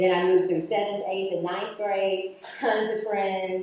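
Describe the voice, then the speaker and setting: Amid noticeable background noise and audible room echo, a woman with an American accent speaks in an animated tone at a medium pitch. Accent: slight country. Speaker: attorney and keynote speaker. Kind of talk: keynote speech. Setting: stage with audience.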